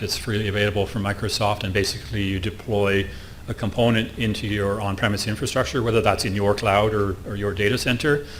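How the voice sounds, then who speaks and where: There is audible room echo along with noticeable background noise. Through it, a man speaks at a very fast pace. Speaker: conference speaker on IT security. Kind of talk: conference presentation. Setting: stage with audience.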